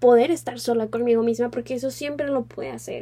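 A woman's high-pitched voice carries a dark, mellow tone and a monotone, flat intonation. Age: 20s. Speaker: podcast host, law student. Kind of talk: casual solo podcast chat.

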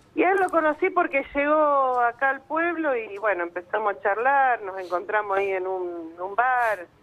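A woman with a fairly high pitch and very wide pitch swings talks at a moderate pace with hardly any pauses. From Argentina, Santa Fe province. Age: 50s. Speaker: radio caller. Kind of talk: phone-in conversation, emotional personal story.

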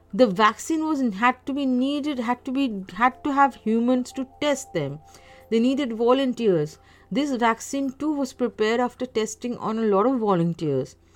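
Over music in the background, a woman speaks at a moderate pace in a high pitch with lively intonation. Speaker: solo podcaster. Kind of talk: casual monologue. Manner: halting, many fillers.

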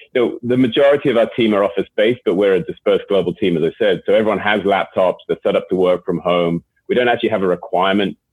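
A man with an English accent talks at a fast pace with a slightly husky edge and ordinary pitch variation.

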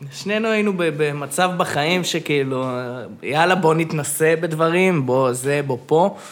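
There is noticeable background noise behind this man. He talks fairly slowly at a fairly high pitch. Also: ordinary pitch variation. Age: 20s. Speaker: podcast guest. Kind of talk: casual chat. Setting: studio.

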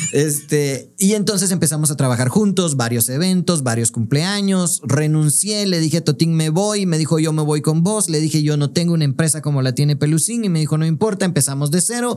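Noticeable background noise runs behind a fairly high-pitched man speaking at a fairly quick pace with hardly any pauses. His loudness stays very even, and his pitch varies in an ordinary way. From Guatemala. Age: 40s. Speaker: clown, pastor and podcast co-host. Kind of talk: casual chat.

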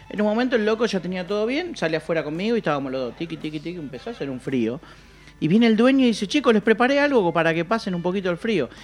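A man with a Rioplatense accent speaks high and very fast, with very wide pitch swings. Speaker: podcast co-host. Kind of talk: casual chat.

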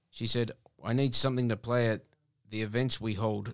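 A man with an Australian accent speaks at a moderate pace and medium pitch in a monotone, flat intonation on a very clean recording with a silent background. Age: 30s. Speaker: guitarist and musician. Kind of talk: casual radio interview.

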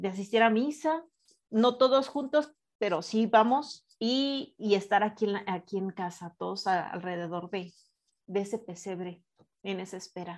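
On a very clean recording with a silent background, a speaker with a Mexican accent talks at a fairly slow pace with ordinary pitch variation. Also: woman. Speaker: radio show co-host. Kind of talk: casual spiritual radio talk.

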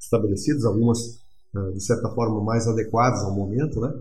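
With audible room echo, a somewhat breathy man speaks at a medium pitch. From Rio Grande do Sul, Brazil (Erechim). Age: 50s. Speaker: regional development analyst. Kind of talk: interview. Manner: halting, with many fillers.

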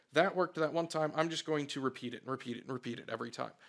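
This man has an unremarkable speaking voice, fairly high in pitch with fairly even intonation. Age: 30s. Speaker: IT company owner. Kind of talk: casual interview.

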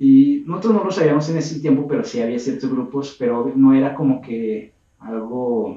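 A man at a medium pitch and moderate pace, with ordinary pitch variation, an unremarkable speaking voice. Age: 20s. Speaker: hiking group leader. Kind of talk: casual chat.

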